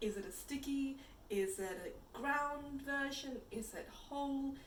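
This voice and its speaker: A woman's fairly high voice with audible room echo. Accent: Punjabi. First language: Punjabi. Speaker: chai company founder. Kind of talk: tutorial.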